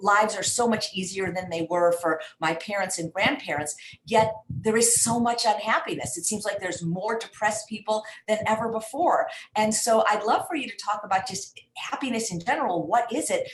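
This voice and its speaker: Lively in intonation, a woman with an ordinary speaking voice talks at a moderate pace and a fairly high pitch. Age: 60s. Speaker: online show host. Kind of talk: live stream interview.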